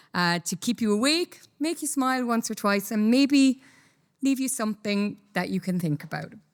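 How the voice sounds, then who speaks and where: Over a silent background in a very clean recording, a woman speaks with lively intonation. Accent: Irish. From Ireland. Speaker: company executive, conference speaker. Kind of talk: conference talk. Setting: stage with audience.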